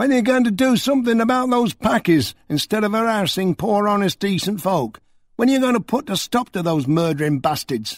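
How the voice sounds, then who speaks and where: Putting on a shrill character voice, a man speaks high-pitched at a fairly quick pace with lively intonation. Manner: shouting, angry.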